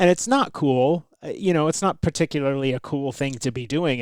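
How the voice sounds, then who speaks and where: A man with a fairly high pitch talks at a fairly quick pace with ordinary pitch variation. The recording is very clean, with a silent background and a dry, close sound with no echo. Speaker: podcast guest, host's husband. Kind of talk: casual chat. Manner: loud.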